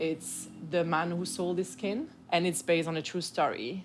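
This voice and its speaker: A woman speaks in a French accent. Her pitch is very deep and low. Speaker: communications officer. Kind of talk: interview.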